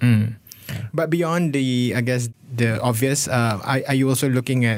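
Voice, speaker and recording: A man with a Malaysian accent at medium pitch and a moderate pace, ordinary pitch variation, on a very clean recording with a silent background. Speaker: radio host. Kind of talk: radio host patter, station ids and interview. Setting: radio studio. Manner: smooth, polished, conversational radio presenter.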